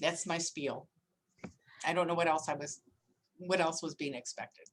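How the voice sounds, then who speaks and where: An ordinary speaking voice from a woman, fairly low in pitch, at a moderate pace with fairly even intonation. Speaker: attorney. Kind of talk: lecture.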